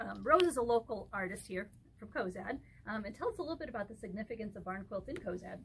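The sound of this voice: A woman talks fast at medium pitch with lively intonation. Vocal fry shows in her voice.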